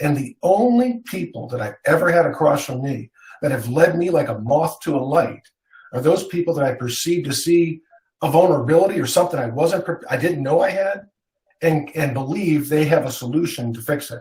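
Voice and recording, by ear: The tone is slightly mellow, and the intonation is lively. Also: man, fairly high pitch for a man, moderate pace.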